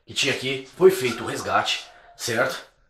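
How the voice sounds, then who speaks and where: A man's voice comes with audible room echo. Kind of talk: casual vlog narration. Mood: tense, excited near end. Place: home room. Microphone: phone near.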